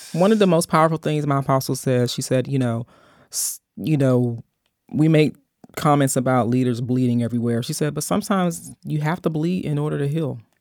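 Lively intonation at a fairly quick pace, on a very clean recording with a silent background. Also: woman, very deep, low pitch for a woman. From US, Baltimore. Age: 40s. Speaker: pastor. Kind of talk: sermon-like exhortation; casual interview.

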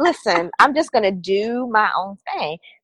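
Very wide pitch swings with an American accent, in a dry, close sound with no echo. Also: woman. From Baltimore, Maryland.

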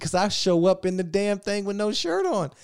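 An animated man with an American accent at a fairly quick pace, very clean recording with a silent background. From Virginia. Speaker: actor and filmmaker. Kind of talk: casual chat.

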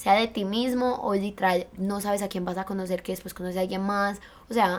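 A woman with a normal speaking voice speaks at a fairly quick pace in a medium pitch, her intonation fairly even. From Colombia. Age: 20s. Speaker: university student. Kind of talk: casual chat.

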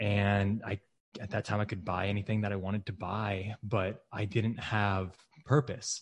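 In a plain, everyday voice, a man speaks at a moderate pace and a fairly low pitch against a quiet background. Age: 20s. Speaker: real estate investor. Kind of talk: podcast interview.

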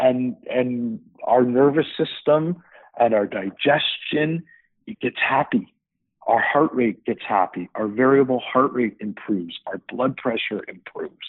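At a fairly slow pace, a man with a Canadian accent uses an ordinary speaking voice at a medium pitch with ordinary pitch variation. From Canada, Hamilton, Ontario. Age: 50s. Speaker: startup founder. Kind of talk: interview.

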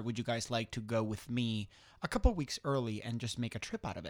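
A man with a Spanish accent speaks at medium pitch on a very clean recording with a silent background. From southwestern Spain. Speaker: competitive skydiver. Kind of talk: casual interview. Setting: studio. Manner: halting, many fillers.

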